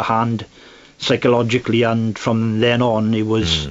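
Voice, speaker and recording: A man's medium-pitched voice proceeds at a moderate pace. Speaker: male domestic abuse survivor. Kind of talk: personal testimony. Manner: halting.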